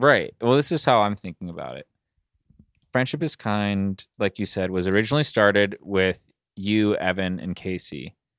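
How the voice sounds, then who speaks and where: An ordinary speaking voice with an American accent talks at a moderate pace, with lively intonation and big swings in loudness. The recording is very clean, with a silent background. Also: man, fairly low pitch for a man, dry, close sound with no echo. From Pittsburgh area, US. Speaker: podcast co-host. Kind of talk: casual chat.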